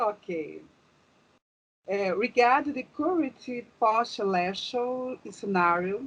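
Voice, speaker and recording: Speaking very slowly with long, frequent pauses, a woman with a Brazilian accent uses a fairly high pitch and lively intonation. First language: Portuguese. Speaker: interviewer. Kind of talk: interview. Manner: halting.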